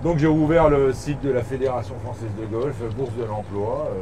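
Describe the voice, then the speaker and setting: A moderate pace and ordinary pitch variation, with audible room echo and noticeable background noise. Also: man. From eastern France, Bourg-en-Bresse area. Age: 50s. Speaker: golf club director. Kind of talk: casual interview during a golf round. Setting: outdoors on golf course.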